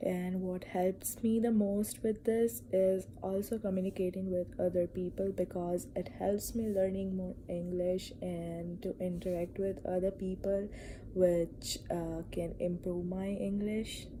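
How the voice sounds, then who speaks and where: A woman speaks at a fairly slow pace with a Gujarati accent, her medium-pitched voice somewhat breathy and dark, mellow in tone. Her intonation stays fairly even, and she hardly pauses at all. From India. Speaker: student. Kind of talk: class presentation. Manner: hesitant, with fillers.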